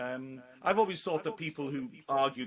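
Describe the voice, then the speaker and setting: A man with a British accent talks at a medium pitch with ordinary pitch variation. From Britain. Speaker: football commentator. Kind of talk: casual interview. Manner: fast, excitable when commentating.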